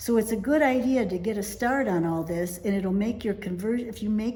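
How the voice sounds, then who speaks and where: Audible room echo surrounds a woman speaking. She moves at a moderate pace with ordinary pitch variation. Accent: American. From United States. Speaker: vlogger, expat in Italy. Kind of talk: casual talking-to-camera vlog.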